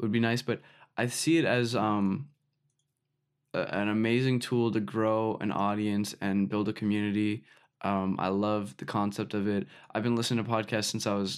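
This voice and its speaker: The delivery comes at a moderate pace in a normal speaking voice with fairly even intonation, in a very clean recording with a silent background. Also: man, fairly low pitch for a man. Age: young. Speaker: music producer and artist. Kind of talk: casual chat. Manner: casual, many fillers.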